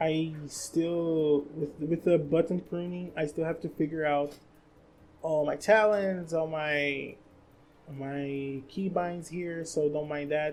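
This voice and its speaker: Speaking very slowly with a Brazilian Portuguese accent, a woman uses a very deep, low pitch and a monotone, flat intonation. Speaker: gaming content creator. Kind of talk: casual monologue. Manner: halting, frequent restarts.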